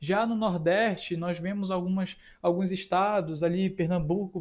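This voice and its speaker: The speech moves at a fairly slow pace with fairly even intonation. It is a very clean recording with a silent background. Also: man. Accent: northern Brazilian. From Amapá, northern Brazil. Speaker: teacher. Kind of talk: lecture. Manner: halting, with fillers.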